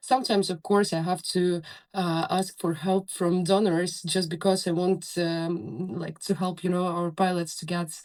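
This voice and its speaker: In a Ukrainian accent, a woman speaks at a fairly low pitch with fairly even intonation. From Ukraine. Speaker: soldier, drone pilot. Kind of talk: interview. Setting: bunker on the front lines, remote call. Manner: halting, many fillers.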